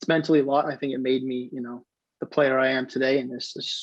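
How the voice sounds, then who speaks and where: Delivered at a fairly quick pace, the speech comes with a General American accent. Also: man. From US Pacific Northwest, Seattle. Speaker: semi-pro soccer player. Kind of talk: interview.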